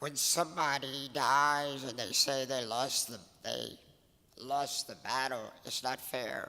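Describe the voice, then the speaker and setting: A man with a bright, sharp tone and fairly even intonation at a very slow pace. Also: medium pitch for a man. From Louisiana (Cajun). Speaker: softball coach. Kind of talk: award acceptance speech.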